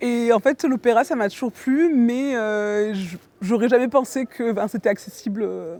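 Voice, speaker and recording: Her tone dark and mellow, a woman speaks in a fairly high pitch. She goes at a fairly slow pace, the sound dry and close with no echo. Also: ordinary pitch variation. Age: 30s. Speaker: amateur choir singer, researcher and designer. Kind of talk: interview.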